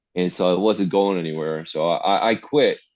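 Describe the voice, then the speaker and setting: A man with a Midwestern accent. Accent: Midwest. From US Midwest, Detroit. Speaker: artist and hardcore musician. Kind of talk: casual interview chat. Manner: fast talker.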